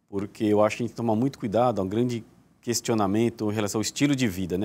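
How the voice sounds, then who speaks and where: Fairly even intonation from a man with a fairly low pitch. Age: 40s. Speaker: neurosurgeon; guest. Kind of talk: TV interview. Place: studio. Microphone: lapel.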